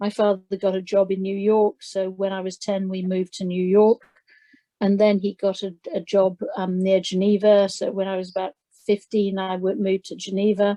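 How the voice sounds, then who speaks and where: This woman speaks at medium pitch with monotone, flat intonation. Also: moderate pace. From London, England. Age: 60s. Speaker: charity founder. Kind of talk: interview. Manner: halting, many fillers.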